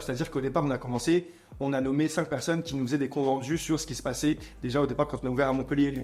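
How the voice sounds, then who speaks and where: Music plays behind a man talking at a very fast pace. His pitch is fairly high and his intonation fairly even. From France, Montreuil near Paris. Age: 20s. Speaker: entrepreneur. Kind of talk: interview.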